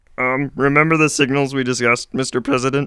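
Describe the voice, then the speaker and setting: Using a put-on character voice, a man rattles along at a very fast pace with monotone, flat intonation at a medium pitch, recorded dry and close with no echo. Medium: audio drama. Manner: hesitant, deferential, filler-laden.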